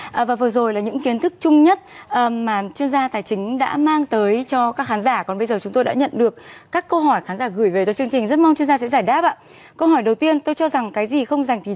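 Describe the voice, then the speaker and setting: Speaking at a very fast pace, a woman uses a high pitch and lively intonation. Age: young. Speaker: TV program host. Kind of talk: scripted presenting. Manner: formal. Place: studio. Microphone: lapel.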